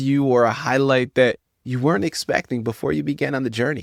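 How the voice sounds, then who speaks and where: A man speaks at a fairly quick pace in an ordinary speaking voice, his pitch medium. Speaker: radio talk show host. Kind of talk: radio interview host questions.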